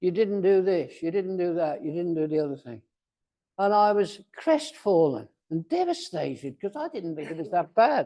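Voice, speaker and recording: A man's high-pitched voice with lively intonation. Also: moderate pace. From Wales. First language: Welsh. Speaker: Toastmasters speaker. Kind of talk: speech.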